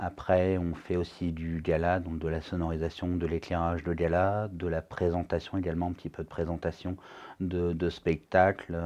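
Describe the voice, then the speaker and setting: A man's very deep, low voice with a dark, mellow tone and flat, monotone intonation against a quiet background. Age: 30s. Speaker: wedding DJ and event host. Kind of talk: interview. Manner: hesitant, many fillers.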